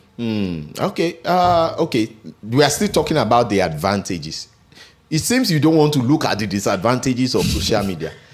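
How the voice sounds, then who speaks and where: A man speaks at a fairly quick pace and medium pitch, his pitch swinging very widely, with music in the background. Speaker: podcast host and ring announcer. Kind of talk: podcast interview host, energetic.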